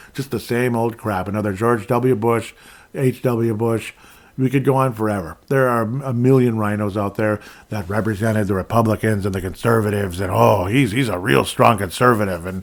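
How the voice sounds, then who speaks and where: Speaking with an Upper Midwest accent, a man talks at a moderate pace in a fairly low pitch with ordinary pitch variation. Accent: Upper Midwest American. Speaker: podcast host. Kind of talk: political commentary monologue. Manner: casual, filler-heavy.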